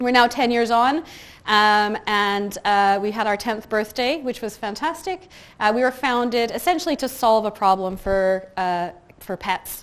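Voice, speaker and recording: In a Canadian accent, the speaker goes at a fairly slow pace with ordinary pitch variation on a very clean recording with a silent background. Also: woman, fairly high pitch for a woman. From west coast of Canada. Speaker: customer service head and workplace speaker. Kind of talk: conference talk. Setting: stage with audience. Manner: soft-spoken.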